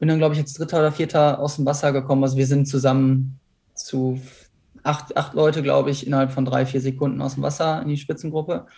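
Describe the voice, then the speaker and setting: This man talks at a very fast pace in a fairly high pitch for a man, with a dark, mellow tone, a somewhat breathy quality and monotone, flat intonation. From Ruhr area, Germany (near Essen). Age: 20s. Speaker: professional triathlete. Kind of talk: interview.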